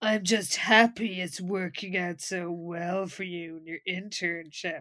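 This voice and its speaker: A woman's put-on character voice, sinister in tone, with big swings in loudness. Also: medium pitch for a woman, fairly slow pace. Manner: sinister, insincere.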